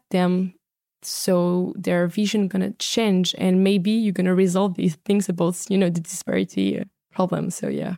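A woman's medium-pitched, dark, mellow voice with a French accent, flat, monotone intonation and a fairly slow pace, in a dry, close sound with no echo on a very clean recording with a silent background. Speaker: startup founder and negotiation trainer. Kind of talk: casual interview. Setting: studio.

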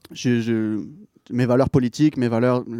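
A man's medium-pitched voice with a dark, mellow tone, in a dry, close sound with no echo, on a very clean recording with a silent background. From southern France, near Marseille. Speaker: record label director. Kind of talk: casual interview.

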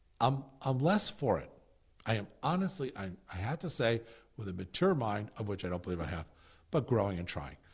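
A man's somewhat breathy voice with very wide pitch swings and long, frequent pauses, on a very clean recording with a silent background. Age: 60s. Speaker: podcast host and mental health coach. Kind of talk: instructional walkthrough of a curriculum manual. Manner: halting, frequent fillers and restarts.

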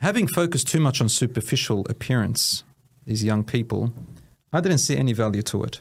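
A man with an Australian accent speaks at a moderate pace with lively intonation and very even loudness. His voice is somewhat breathy, with long, frequent pauses. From Australia, Melbourne area (Williamstown). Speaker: Islamic teacher and community leader. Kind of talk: personal life story interview.

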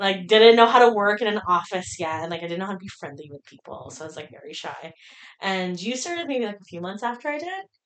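Speaking at a very fast pace, this voice has lively intonation and big swings in loudness. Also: woman, medium pitch for a woman. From Philippines, moved to Windsor, Ontario at 10. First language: Filipino. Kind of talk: casual chat.

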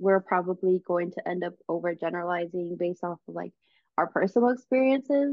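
In an ordinary speaking voice, a woman with a fairly low pitch talks at a fairly quick pace with lively intonation. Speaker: college student podcast co-host. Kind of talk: casual chat.

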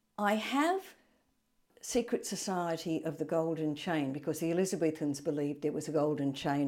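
Moderate-paced speech with an Australian accent, a dark, mellow tone and ordinary pitch variation, in a very clean recording with a silent background. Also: woman. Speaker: retired English teacher. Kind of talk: interview.

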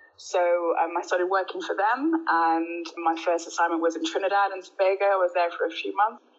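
A woman's medium-pitched voice with a Birmingham accent, fairly quick with hardly any pauses and fairly even intonation. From Birmingham, England. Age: 30s. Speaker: energy company executive. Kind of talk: casual interview.

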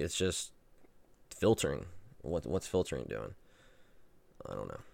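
A man's very deep, low voice with vocal fry and lively intonation, on a very clean recording with a silent background. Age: 30s. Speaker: solo podcaster running a website. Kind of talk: casual monologue. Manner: halting, many restarts.

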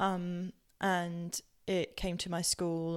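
A woman speaks in a fairly low, flat monotone on a very clean recording with a silent background. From Southampton, southern England. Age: 30s. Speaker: elite rower and podcast presenter. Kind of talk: personal storytelling, reflective podcast monologue.

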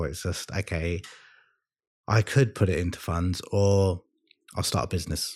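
On a very clean recording with a silent background, a man with a very deep, low pitch speaks at a fairly slow pace with ordinary pitch variation. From London, England. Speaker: podcast guest. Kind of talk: casual chat.

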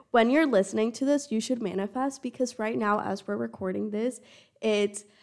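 A woman speaks in a plain, everyday voice. Her pitch is medium and varies in an ordinary way. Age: 20s. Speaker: college student podcast co-host. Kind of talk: casual chat.

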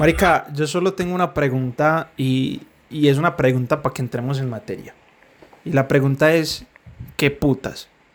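This man has a plain, everyday voice, a fairly high pitch, ordinary pitch variation, and a moderate pace. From Colombia, Medellín. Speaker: podcast co-host. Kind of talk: casual chat.

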